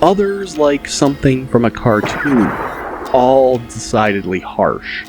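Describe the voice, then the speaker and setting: Music plays behind a man speaking at a very slow pace. His pitch is medium. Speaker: audiobook narrator. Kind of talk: audiobook narration.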